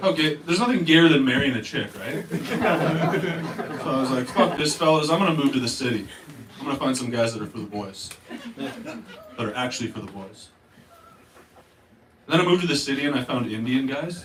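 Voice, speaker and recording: A man with a Canadian accent, fairly high-pitched and fairly quick, with lively intonation and long, frequent pauses, amid noticeable background noise and audible room echo. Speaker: stand-up comedian. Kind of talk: stand-up. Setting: stage with audience.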